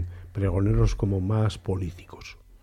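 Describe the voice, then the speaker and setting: A man's fairly low, somewhat breathy voice with a dark, mellow tone against a quiet background. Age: 60s. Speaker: politician and radio panelist. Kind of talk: radio roundtable discussion. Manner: halting, repeats words.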